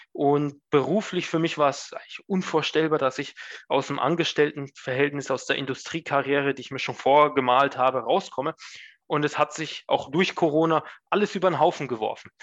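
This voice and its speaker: A man's fairly high voice at a fairly quick pace, fairly even in intonation, against a quiet background. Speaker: management consultant. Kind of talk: interview. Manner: hesitant, many fillers.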